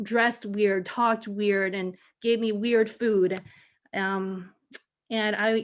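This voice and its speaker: A woman's fairly high voice with an American accent, monotone and flat, at a very slow pace with long, frequent pauses, in a very clean recording with a silent background. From Taiwan, raised in the US from childhood. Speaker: education faculty panelist, former teacher. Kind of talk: panel discussion.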